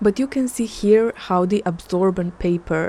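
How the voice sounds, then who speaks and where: Speaking with a non-native accent, a woman has a medium-pitched voice with a dark, mellow tone. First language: not English. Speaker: artist. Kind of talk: art vlog narration.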